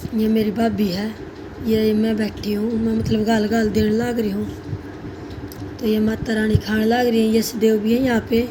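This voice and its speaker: A woman speaks in a monotone at a fairly high pitch, leaving long, frequent pauses. Audible room echo and noticeable background noise fill the recording. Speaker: vlogger. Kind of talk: casual vlog narration.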